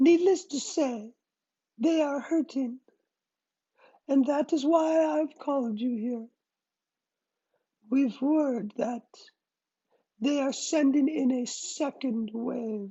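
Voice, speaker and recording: Very slow and broken by long, frequent pauses, a put-on character voice speaks at a high pitch. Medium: read story. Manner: smooth, firm.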